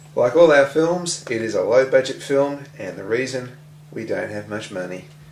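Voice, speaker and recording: A man at a medium pitch talks at a moderate pace with lively intonation and big swings in loudness. Noticeable background noise is present. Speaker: filmmaker. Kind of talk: comedic film introduction.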